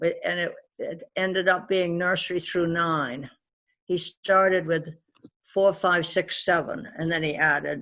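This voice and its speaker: Speaking at a fairly slow pace, a woman has a fairly low pitch, a bright, sharp tone and fairly even intonation. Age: 80s+. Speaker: retired educator. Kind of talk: interview answer.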